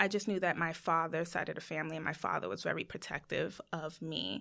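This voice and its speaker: Recorded very cleanly against a silent background, a woman with an American accent speaks at a moderate pace. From US. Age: 20s. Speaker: educator. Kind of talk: interview conversation. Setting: studio.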